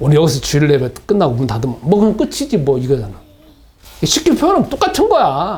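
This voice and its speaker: Noticeable background noise sits behind a man talking at a fairly quick pace. His pitch swings very widely. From South Korea, Gunsan (North Jeolla). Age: 60s. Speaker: pastor. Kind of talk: sermon. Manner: conversational, repetitive.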